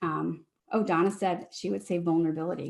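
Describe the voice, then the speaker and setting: A woman talks at a fairly quick pace. Vocal fry runs through her voice. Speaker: leadership coach. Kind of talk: webinar talk. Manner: fast.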